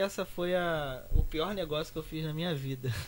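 A man's fairly high-pitched voice, a normal speaking voice. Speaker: designer and youtuber. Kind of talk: casual chat.

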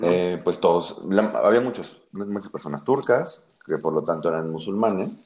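A man with an ordinary speaking voice, fairly low in pitch, at a fairly slow pace. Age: 20s. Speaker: lobbyist and tarot reader. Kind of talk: tarot reading; casual interview chat.

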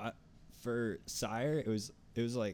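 A man with a North Jersey accent. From North Jersey, US. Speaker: podcast co-host. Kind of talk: casual chat.

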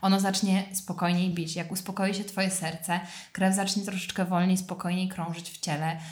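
With audible room echo, a woman speaks at medium pitch in a monotone, flat intonation, sounding somewhat breathy. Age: 20s. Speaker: yoga teacher. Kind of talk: casual chat.

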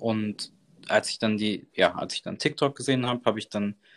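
A man speaks at a fairly quick pace at medium pitch with ordinary pitch variation. It is a plain, everyday voice. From Germany, Bonn. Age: 20s. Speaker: cooking content creator. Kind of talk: casual interview. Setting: remote call.

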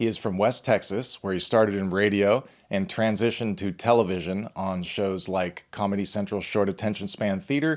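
In a very clean recording with a silent background, a man with a plain, everyday voice talks at a moderate pace, using a fairly low pitch and ordinary pitch variation. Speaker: podcast host. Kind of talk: casual podcast interview.

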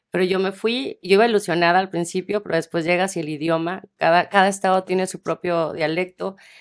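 In a normal speaking voice, a woman talks at a fairly quick pace with hardly any pauses, her medium pitch showing fairly even intonation, in a very clean recording with a silent background. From Mexico, Tepic (Nayarit). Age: 40s. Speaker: casting director. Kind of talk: interview.

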